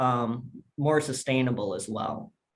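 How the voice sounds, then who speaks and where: Fairly high in pitch, a man talks with fairly even intonation in a plain, everyday voice. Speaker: sales presenter. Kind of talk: webinar product presentation.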